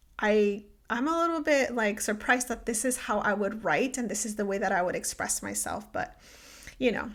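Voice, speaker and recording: A woman with a Spanish accent speaks at a moderate pace with a fairly high pitch and lively intonation, in a very clean recording with a silent background. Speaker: podcast host. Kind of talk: personal reflective monologue. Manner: many fillers, um and like.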